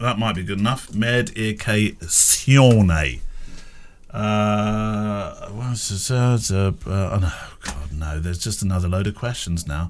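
Using an unremarkable speaking voice, a man talks at a fairly low pitch and fairly slow pace with ordinary pitch variation. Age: 50s. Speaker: photographer and podcast host. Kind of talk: casual chat.

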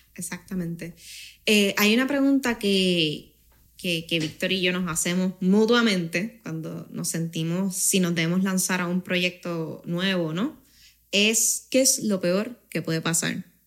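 A woman with a Puerto Rican accent, at a fairly slow pace. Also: medium pitch for a woman, ordinary pitch variation, very clean recording, silent background. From Canary Islands, Spain until age 9, then Puerto Rico. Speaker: finance company co-founder. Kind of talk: casual interview.

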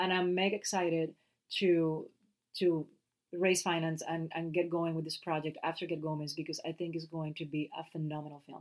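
A woman with a Puerto Rican accent speaks at a moderate pace, her pitch fairly low and her intonation fairly even. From Puerto Rico. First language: Spanish. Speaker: actress and podcast co-host. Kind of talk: casual chat. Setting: home closet recording.

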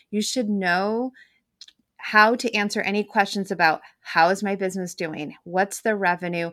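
With a plain, everyday voice, a woman talks at a moderate pace and medium pitch, using fairly even intonation in a very clean recording with a silent background. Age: 40s. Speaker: bookkeeper and money coach. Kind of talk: interview.

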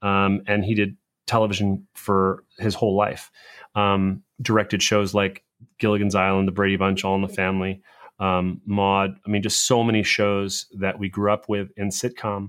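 Speaking in a flat monotone with an American accent, a man keeps a moderate pace at a fairly low pitch. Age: 40s. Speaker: video storytelling coach. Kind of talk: interview. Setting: video call.

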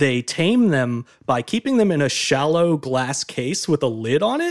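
Captured dry and close with no echo in a very clean recording with a silent background, a man with a fairly high pitch and a plain, everyday voice talks fairly slowly with lively intonation. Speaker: guest expert on flea circuses. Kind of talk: casual chat.

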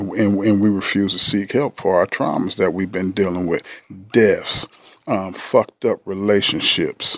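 A man speaks at a moderate pace in a fairly low, flat monotone. The sound is dry and close, with no echo. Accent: American. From US West Coast, San Diego. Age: 50s. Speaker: therapist. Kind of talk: casual chat.

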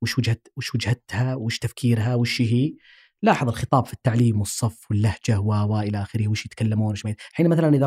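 A man's somewhat breathy, dark, mellow voice at a medium pitch, with fairly even intonation and a dry, close sound free of echo. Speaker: linguistics professor and researcher. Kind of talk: interview conversation.

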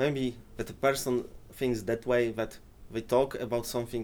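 Fairly slow speech from a man. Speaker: Polish Saturday school teacher.

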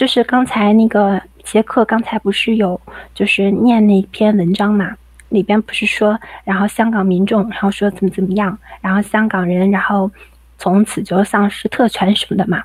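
A woman speaks at a medium pitch and moderate pace, somewhat breathy, in a monotone, flat intonation. The sound is dry and close with no echo. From Dalian, Liaoning, China. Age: 20s. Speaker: caller. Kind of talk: reading aloud.

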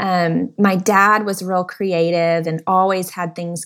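A woman with an American accent speaks fairly slowly in a plain, everyday voice of medium pitch. The recording is very clean, with a silent background. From Texas, Dallas. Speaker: designer and speaker. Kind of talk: interview.

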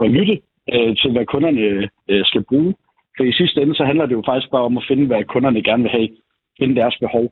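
At a fairly quick pace, a man with an unremarkable speaking voice talks at medium pitch, which varies in an ordinary way. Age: 20s. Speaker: salesman. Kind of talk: phone interview. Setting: phone call.

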